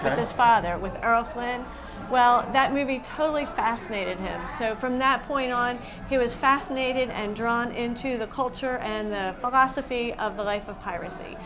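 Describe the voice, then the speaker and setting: A woman speaks at a high pitch with ordinary pitch variation. Noticeable background noise is present. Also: moderate pace. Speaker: museum executive director. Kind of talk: interview answer.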